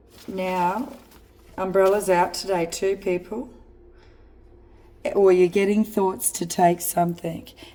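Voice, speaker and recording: A woman speaks very slowly in a strong Australian accent. Her medium-pitched voice has a dark, mellow tone and fairly even intonation. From rural Australia. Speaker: spiritual card reader. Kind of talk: psychic card reading monologue. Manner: halting.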